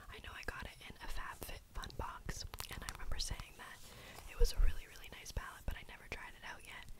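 A woman whispers at a very fast pace. Her loudness swings a great deal. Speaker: ASMR creator. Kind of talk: ASMR makeup tutorial. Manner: whispered. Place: home room.

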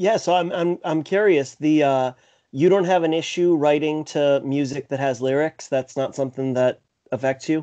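Against a quiet background, a man with a dark, mellow tone speaks at a moderate pace with ordinary pitch variation. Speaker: podcast co-host. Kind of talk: interview. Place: home room. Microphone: studio mic.

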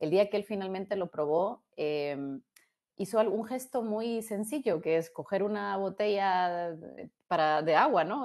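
A medium-pitched woman at a fairly slow pace, with ordinary pitch variation, against a quiet background. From Guatemala. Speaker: robotics engineer. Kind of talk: interview. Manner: halting, many repetitions. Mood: warm, enthusiastic. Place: home room. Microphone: earbuds.

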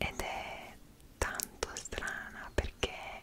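A woman speaks over loud background noise. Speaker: travel vlogger. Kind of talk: casual vlog chat. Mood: animated, expressive storytelling. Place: home room.

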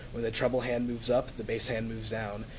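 A man with an American accent, medium-pitched, at a very fast pace, light background noise. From US South. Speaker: college student; student essay reader. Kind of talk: reading aloud. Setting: stage with audience. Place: classroom. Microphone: camera far.

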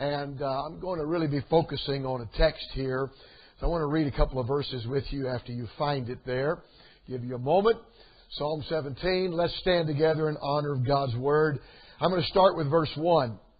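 Against a quiet background, a somewhat breathy man speaks at a moderate pace with ordinary pitch variation. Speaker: preacher. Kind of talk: sermon. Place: church.

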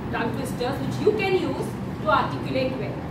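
A woman talks at a moderate pace amid loud background noise. Audible room echo surrounds her voice. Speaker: workshop trainer. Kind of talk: lecture.

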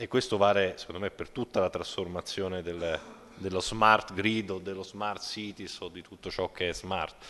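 The man has a very deep, low pitch and a bright, sharp tone. His intonation is monotone and flat, with big swings in loudness. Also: moderate pace. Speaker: energy efficiency expert. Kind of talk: panel discussion. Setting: stage with audience. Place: hall. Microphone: podium.

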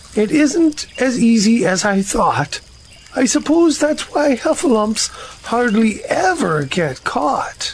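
A man's put-on character voice at an extremely high pitch and fairly slow pace

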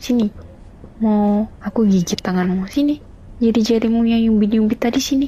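Pausing long and often, a woman with a fairly high pitch talks at a moderate pace, with fairly even intonation and very even loudness. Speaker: ASMR roleplayer playing a grumpy wife. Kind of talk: heated argument, roleplay. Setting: roleplay with the listener as her partner, meant for earphones. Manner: irritable, sulky, snappy; whiny, petulant, bickering.

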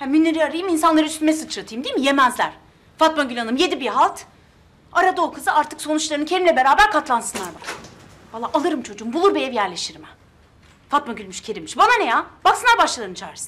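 Talking at a very fast pace, a woman with a high pitch shows big swings in loudness. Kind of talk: acted drama dialogue. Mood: annoyed, defiant. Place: kitchen.

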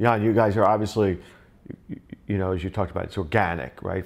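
This man talks at a fairly low pitch with ordinary pitch variation. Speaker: tech industry vlog host; panel host. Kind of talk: roundtable interview. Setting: in-person at an office. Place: meeting room. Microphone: lapel.

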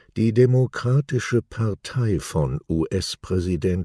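At a very slow pace, a man with a dark, mellow tone and lively intonation is heard in a very clean recording with a silent background and a dry, close sound with no echo. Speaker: news presenter. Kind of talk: news reading. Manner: formal.

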